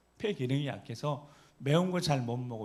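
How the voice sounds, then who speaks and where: An animated man with lively intonation at a moderate pace, with audible room echo. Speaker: pastor. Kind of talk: sermon. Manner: animated, rhetorical questions to congregation.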